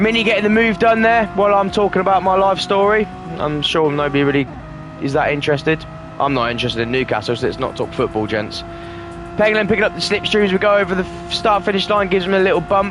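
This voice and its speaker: A man speaks very fast in a high voice with a slight London accent. His intonation is lively, with noticeable background noise behind him. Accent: bit of a London twang. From Northamptonshire, England. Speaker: esports race commentator. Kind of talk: live commentary.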